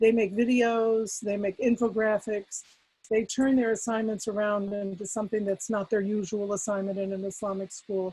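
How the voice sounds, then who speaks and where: A woman speaks in a fairly high, somewhat breathy voice with a dark, mellow tone and monotone, flat intonation. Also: moderate pace. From US, rural farm upbringing. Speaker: Islamic weekend school principal and education expert. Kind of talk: webinar panel talk.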